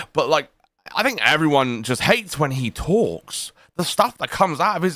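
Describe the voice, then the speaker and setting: The voice swings very widely in pitch. Its pace is moderate. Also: man. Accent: British. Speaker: livestream commentary co-host. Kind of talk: casual livestream chat.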